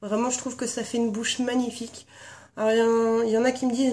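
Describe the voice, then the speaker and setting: The voice belongs to a woman with a fairly high pitch. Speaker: beauty vlogger. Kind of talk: casual video tag chat. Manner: hesitant with many fillers.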